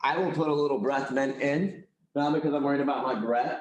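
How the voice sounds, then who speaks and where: There is audible room echo as a man talks at a fairly high pitch. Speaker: real estate coach. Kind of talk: training class presentation. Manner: fast talker; loud.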